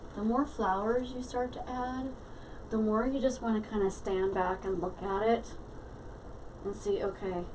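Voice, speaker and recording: Mumbling at a moderate pace with long, frequent pauses, a woman with a fairly high pitch and ordinary pitch variation is heard over noticeable background noise and audible room echo. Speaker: craft tutorial maker. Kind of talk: tutorial. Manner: mumbling to herself; casual, hesitant with fillers.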